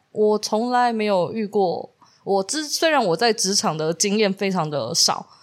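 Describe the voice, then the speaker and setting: In a normal speaking voice, a woman talks at a fairly slow pace with a medium pitch and lively intonation. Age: 30s. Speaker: podcast co-host. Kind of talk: casual chat.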